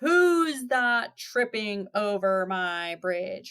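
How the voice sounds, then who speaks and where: In a gruff, bellowing put-on character voice, a woman speaks at a very slow pace and medium pitch. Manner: roaring, gruff.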